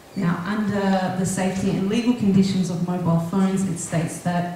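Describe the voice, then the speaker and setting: Over strong room echo and light background noise, a woman talks at a fairly quick pace with fairly even intonation. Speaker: natural health therapist. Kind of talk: presentation to a live audience. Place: hall.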